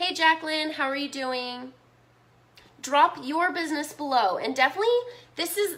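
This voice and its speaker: Her voice raised and projected, a woman speaks in a bright, sharp, animated tone with ordinary pitch variation. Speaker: business marketing coach. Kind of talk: live stream webinar. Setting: live stream.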